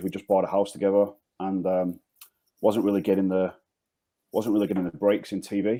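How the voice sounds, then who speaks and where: With a Manchester accent, a man speaks at a fairly low pitch in a dark, mellow tone. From northern England, Manchester. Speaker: insurance agency founder. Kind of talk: podcast interview. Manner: repetitive, hesitant.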